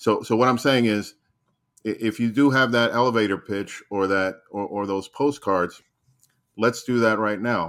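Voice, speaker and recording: A man's plain, everyday voice at medium pitch, with an American accent and fairly even intonation. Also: moderate pace, very clean recording, silent background. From New Jersey. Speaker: guest panelist. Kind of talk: casual chat.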